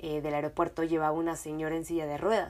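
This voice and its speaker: The delivery is animated, in a Mexican accent. The recording is very clean with a silent background. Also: woman. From Mexico. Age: 20s. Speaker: podcast host. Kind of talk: casual storytelling monologue.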